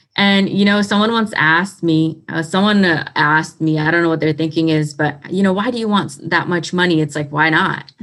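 With a plain, everyday voice, a woman speaks at a fairly low pitch with ordinary pitch variation and hardly any pauses. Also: moderate pace. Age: 20s. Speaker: motivational speaker and author. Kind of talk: interview testimony.

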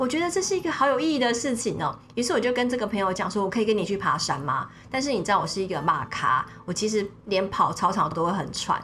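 Against noticeable background noise, a woman talks at a very fast pace with hardly any pauses, a fairly high pitch and very wide pitch swings. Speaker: media executive and former journalist. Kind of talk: interview, personal storytelling. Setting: studio. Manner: animated.

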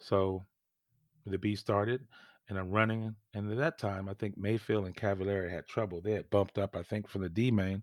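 Fairly quick speech from a man with an American accent, a normal speaking voice with fairly low pitch and fairly even intonation. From California. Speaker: former pro RC racer. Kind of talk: casual interview. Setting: home podcast studio, remote.

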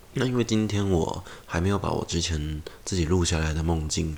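Here a man speaks with a very deep, low pitch. His pitch variation is ordinary. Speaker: podcast host. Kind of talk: casual monologue.

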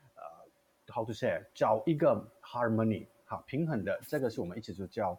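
A man speaks with a slight Taiwanese accent. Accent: slight Taiwanese Mandarin accent, non-native. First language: Indian language (speaking Chinese). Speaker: theatre artistic director. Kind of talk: casual chat. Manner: halting; code-switching with English.

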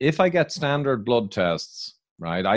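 Recorded very cleanly against a silent background, a man speaks with an Irish accent. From Ireland. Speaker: biochemical engineer and author, public speaker. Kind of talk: interview answers, explanatory.

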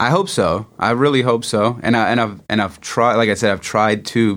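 A man with a Philadelphia accent talks at a moderate pace with fairly even intonation. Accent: Philadelphia-area American. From US Northeast, Norristown near Philadelphia. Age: 30s. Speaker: designer and pro skateboarder. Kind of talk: casual interview. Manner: halting, many fillers and repetitions.

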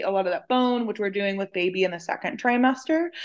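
A woman with an American accent has an unremarkable speaking voice at a fairly high pitch. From West Texas (San Angelo). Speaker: dietitian. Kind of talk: casual interview.

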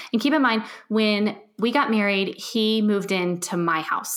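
Using a normal speaking voice, a woman talks at a medium pitch that varies in an ordinary way. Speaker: podcast host and organization coach. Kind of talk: casual interview chat.

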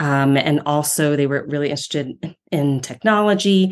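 Against a quiet background, a woman with an American accent speaks at a moderate pace in a very deep, low-pitched voice. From Ohio, US Midwest. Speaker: speech-language pathology professor. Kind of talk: interview conversation.

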